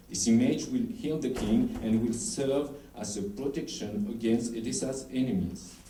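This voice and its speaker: A man at medium pitch with lively intonation and a moderate pace, amid audible room echo and noticeable background noise. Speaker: historical researcher presenting at a conference. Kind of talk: conference presentation. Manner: halting, with stumbles and restarts.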